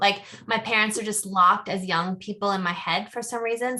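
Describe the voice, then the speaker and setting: A very fast, bright and sharp delivery with an American accent and fairly even intonation. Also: woman. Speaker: podcast co-host. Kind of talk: casual podcast discussion. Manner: stuttering momentarily.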